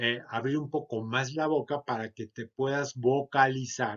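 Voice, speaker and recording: The speaker is a man with a fairly high pitch. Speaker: sales trainer. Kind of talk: lecture. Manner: loud.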